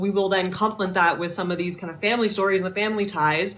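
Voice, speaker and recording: The woman's tone is bright and sharp, with a medium pitch and ordinary pitch variation. Room echo can be heard. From Northern Ontario, Canada. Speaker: podcast host. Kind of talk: interview introduction. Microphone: too quiet.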